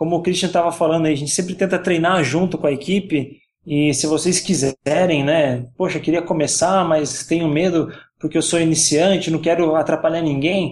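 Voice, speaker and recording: A man with a plain, everyday voice speaks at a fairly high pitch and a moderate pace. His loudness is very even and his intonation fairly even. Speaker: YouTuber on virtual racing. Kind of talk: casual podcast chat.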